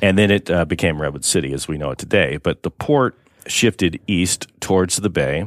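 Vocal fry runs through a man's very deep, low pitch as he speaks at a fairly quick pace with ordinary pitch variation. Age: 50s. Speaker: city mayor. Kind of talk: radio interview.

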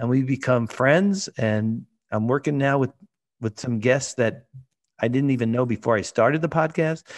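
Dry and close with no echo, the clip has an American accent, a moderate pace, an ordinary speaking voice and ordinary pitch variation. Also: man, medium pitch for a man. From New York, Brooklyn. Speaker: sports photographer. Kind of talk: casual chat.

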